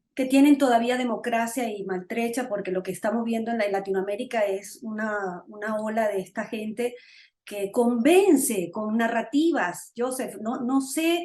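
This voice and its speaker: At a fairly slow pace, a woman speaks with a fairly high pitch, a dark, mellow tone and ordinary pitch variation. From Venezuela. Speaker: political talk show host. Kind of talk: interview.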